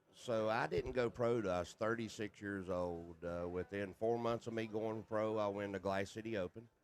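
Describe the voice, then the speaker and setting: A man with a Southern US accent, fairly low-pitched, fairly even in intonation, with hardly any pauses. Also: moderate pace. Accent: Southern hillbilly. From US South, North Carolina. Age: 50s. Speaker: pool player and commentator. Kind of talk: casual chat.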